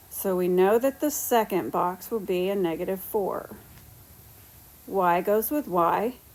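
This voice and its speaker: Here a woman speaks at a fairly slow pace and a medium pitch. Hers is an unremarkable speaking voice. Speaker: math teacher. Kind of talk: lecture.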